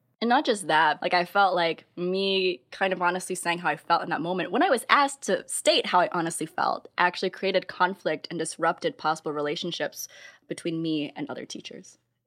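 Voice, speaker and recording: A woman with an American accent, an ordinary speaking voice, fairly low-pitched, at a fairly quick pace with hardly any pauses and ordinary pitch variation, on a very clean recording with a silent background. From US Midwest. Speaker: podcast host, teacher. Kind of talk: casual chat.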